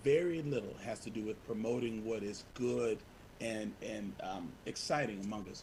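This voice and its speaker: A man with a medium-pitched voice talks while noticeable noise sounds in the background. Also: ordinary pitch variation. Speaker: community organizer. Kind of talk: panel presentation. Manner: fast.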